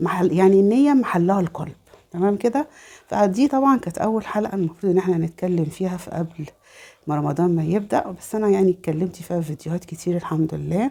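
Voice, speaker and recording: Speaking at a fairly quick pace, a woman with an Egyptian accent has a medium pitch and lively intonation. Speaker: religious lifestyle vlogger. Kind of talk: religious talk. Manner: halting, many fillers.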